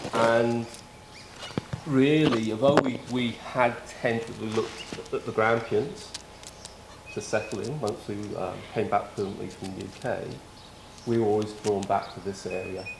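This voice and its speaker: A man's medium-pitched voice at a moderate pace, fairly even in intonation, with long, frequent pauses, audible room echo and noticeable background noise. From Wales, city-raised. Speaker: former police officer, volunteer firefighter. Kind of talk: casual interview.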